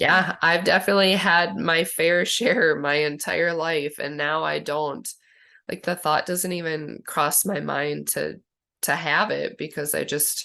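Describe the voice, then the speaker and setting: A woman's bright, sharp voice, fairly low in pitch, with vocal fry, ordinary pitch variation, a fairly slow pace and a quiet background. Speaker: channel host, wellness coach. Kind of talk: casual chat.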